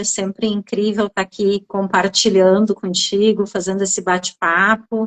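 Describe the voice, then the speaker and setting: The recording of this woman is dry and close with no echo, her medium-pitched voice monotone and flat. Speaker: therapist. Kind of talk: conversational interview.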